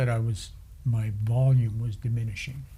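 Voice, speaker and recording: With audible room echo around him, a man speaks at a moderate pace in a medium pitch, his dark, mellow tone somewhat breathy and his intonation fairly even. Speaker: stroke survivor. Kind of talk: interview. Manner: soft-spoken; halting.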